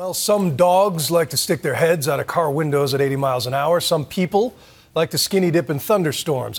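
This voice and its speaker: Pitch varies in an ordinary way while the speaking pace stays moderate. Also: man. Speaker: news anchor. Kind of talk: news presentation. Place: studio.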